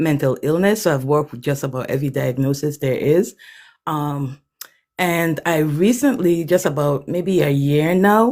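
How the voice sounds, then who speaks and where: A woman's very deep, low voice with a Virgin Islands accent, ordinary pitch variation, and a fairly slow pace. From US Virgin Islands, Saint Thomas. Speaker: author, artist and former teacher. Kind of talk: livestream self-introduction. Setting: livestream.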